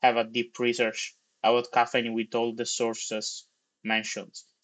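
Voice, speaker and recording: Speaking at a fairly slow pace with an Italian accent, a man is heard against a quiet background. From Italy. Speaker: tech livestreamer, software developer. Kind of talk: live coding stream, casual commentary. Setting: livestream. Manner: casual, animated.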